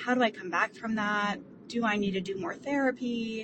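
A woman speaks somewhat breathily at a fairly high pitch. Her pace is moderate and her pitch variation ordinary. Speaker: voicemail caller. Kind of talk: voicemail question.

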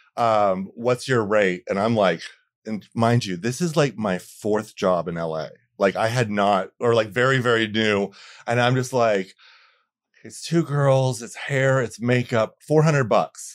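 Over a very clean recording with a silent background, a man speaks at a fairly slow pace in a normal speaking voice, medium in pitch with ordinary pitch variation. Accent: American. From Florida. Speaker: makeup artist. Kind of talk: casual chat.

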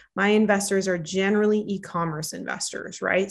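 A woman with an American accent speaks at a moderate pace in a normal speaking voice. The background is quiet. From northern Minnesota. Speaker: startup founder and CEO. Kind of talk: podcast interview.

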